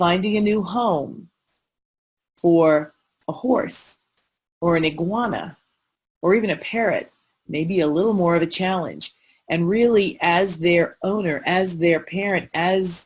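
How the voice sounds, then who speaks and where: A woman with a normal speaking voice talks at a fairly slow pace and fairly low pitch. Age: 60s. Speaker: lawyer and mediator giving pet care planning webinar. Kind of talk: webinar presentation. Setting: online webinar.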